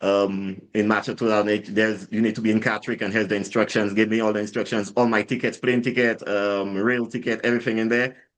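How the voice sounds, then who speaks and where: A man's fairly low voice in an American accent, very fast and monotone, with hardly any pauses. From Saint Lucia. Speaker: drinks brand founder, ex-soldier. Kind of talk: casual interview storytelling. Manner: halting, many repetitions and fillers.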